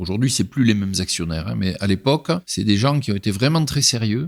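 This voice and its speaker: A man talks at a fairly low pitch with lively intonation. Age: 60s. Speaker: entrepreneur, pig farmer. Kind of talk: interview answer. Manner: colourful, vivid speech.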